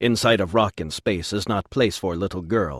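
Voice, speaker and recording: A growling, put-on character voice comes through with a dry, close sound and no echo. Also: man, very clean recording, silent background. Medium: read story.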